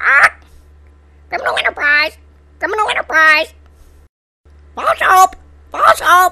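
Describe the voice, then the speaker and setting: In a put-on character voice with an extremely high pitch, the speaker keeps a moderate pace broken by long, frequent pauses. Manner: squawking, repetitive shouting.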